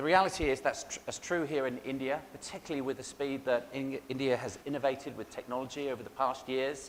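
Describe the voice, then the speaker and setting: Fairly even intonation at a fairly quick pace. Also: man. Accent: English. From England. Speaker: cybersecurity vendor keynote speaker. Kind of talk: conference keynote presentation. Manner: hesitant fillers (um, uh).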